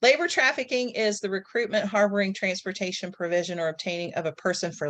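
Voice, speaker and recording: A woman's medium-pitched voice with ordinary pitch variation, a normal speaking voice, and a quiet background. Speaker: social work professor. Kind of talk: presentation on a group call.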